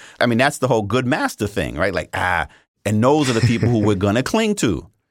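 With an American accent, a man talks with vocal fry. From New York City, Brooklyn. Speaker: history professor. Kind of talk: interview.

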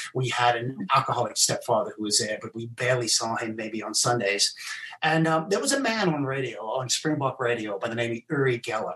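A man speaks with normal pitch variation while noticeable background noise carries on around him. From England and South Africa. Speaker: mentalist and magician. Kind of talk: casual interview. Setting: live stream video call.

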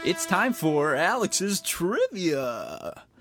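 Faint music plays behind a man doing a put-on character voice with a high pitch. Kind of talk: announcer voice. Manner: exaggerated, showy.

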